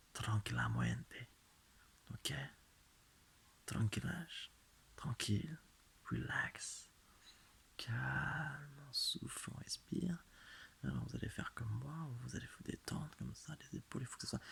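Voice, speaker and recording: Whispering in a soothing tone, a man speaks very slowly, with long, frequent pauses. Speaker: ASMR creator. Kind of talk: guided relaxation hypnosis. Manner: slow, soothing.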